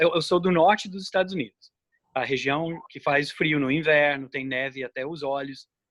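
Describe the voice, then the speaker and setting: In a normal speaking voice, a man speaks at a moderate pace with a fairly high pitch and ordinary pitch variation, the sound dry and close with no echo. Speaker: ornithologist, researcher. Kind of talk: interview.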